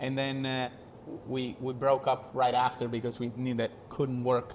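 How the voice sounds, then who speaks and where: A man with monotone, flat intonation at a fairly slow pace. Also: medium pitch for a man. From southern Italy. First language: Italian. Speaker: actor and director. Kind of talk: casual chat. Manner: halting.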